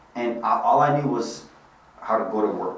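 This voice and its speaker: Fairly even intonation from a man, with audible room echo and noticeable background noise. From Bosnia, then Germany from age six. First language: Bosnian. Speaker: life insurance sales executive. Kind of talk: podcast interview.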